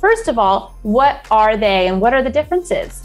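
Faint music can be heard behind the voice. The woman speaks at a moderate pace. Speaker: video marketing channel host. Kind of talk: tutorial. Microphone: lapel.

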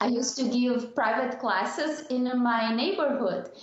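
A high-pitched woman in a Portuguese accent, fairly even intonation, light background noise and audible room echo. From southern Brazil. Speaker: diversity and intercultural consultant. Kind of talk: interview podcast. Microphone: video call.

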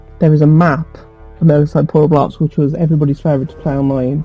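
A man with a West Midlands accent speaks at a fairly high pitch over music in the background. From England, West Midlands. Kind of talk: casual gameplay commentary to camera.

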